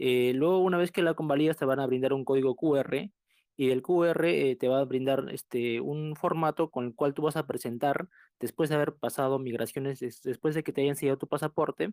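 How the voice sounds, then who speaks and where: A man with an ordinary speaking voice talks at a moderate pace, his fairly high pitch moving in a fairly even way, recorded with a dry, close sound with no echo. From southern Peru. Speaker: recent immigrant caller. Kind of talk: casual group discussion.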